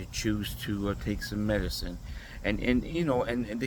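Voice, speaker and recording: A man with fairly low pitch and lively intonation at a fairly quick pace, amid noticeable background noise and audible room echo. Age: 60s. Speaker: vlogger. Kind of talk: casual monologue.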